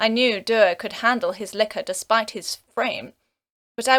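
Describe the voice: With almost nothing audible behind it, the clip is plain reading aloud.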